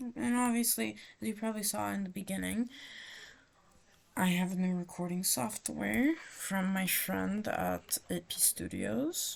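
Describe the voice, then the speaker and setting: A woman with an American accent, at a fairly slow pace. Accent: American accent when speaking English. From France. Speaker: gaming YouTuber. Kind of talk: gameplay commentary. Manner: halting.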